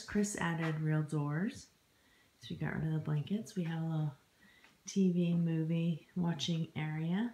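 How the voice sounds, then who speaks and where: A woman speaks at a fairly slow pace in a very deep, low pitch, somewhat breathy, with a dark, mellow tone and ordinary pitch variation. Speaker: homesteader vlogger. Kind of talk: home tour vlog. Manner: casual, upbeat.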